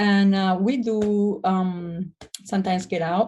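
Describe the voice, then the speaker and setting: With a Spanish accent, a woman speaks at medium pitch in a somewhat breathy voice with monotone, flat intonation. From Spain. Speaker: restoration business owner. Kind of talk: interview. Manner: hesitant, many fillers.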